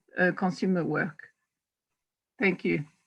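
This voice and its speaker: A woman speaks with a French accent in a somewhat breathy voice. The background is quiet. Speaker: food technologist. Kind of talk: panel introduction on video call.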